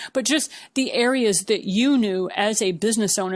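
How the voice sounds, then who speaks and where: A woman with a normal speaking voice talks at a medium pitch and a moderate pace, with ordinary pitch variation. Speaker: podcast host. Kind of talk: interview question.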